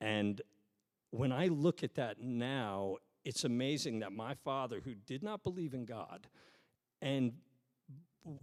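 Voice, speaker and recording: Man with an American accent, fairly slow pace and lively intonation. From New York. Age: 50s. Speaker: pastor. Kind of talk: sermon. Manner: casual, conversational.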